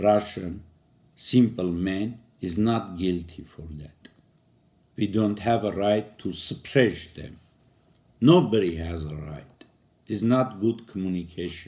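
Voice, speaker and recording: A man with a fairly low pitch and a dark, mellow tone speaks in a non-native accent, with ordinary pitch variation, big swings in loudness, and long, frequent pauses. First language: non-native English speaker. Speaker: poet and commentator. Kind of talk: video monologue on politics. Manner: halting.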